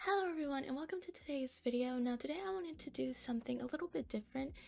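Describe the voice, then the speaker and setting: This woman talks at a very fast pace with a high pitch. Her intonation is lively. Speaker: art YouTuber. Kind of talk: casual drawing vlog. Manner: quiet, low energy; chewing gum while talking. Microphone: close to the mic, mouth noises.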